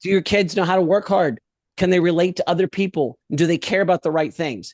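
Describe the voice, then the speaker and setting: A man speaks in a high voice with an animated tone. His pace is fairly quick and his pitch varies in an ordinary way. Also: very even loudness. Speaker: education professional. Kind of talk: podcast interview.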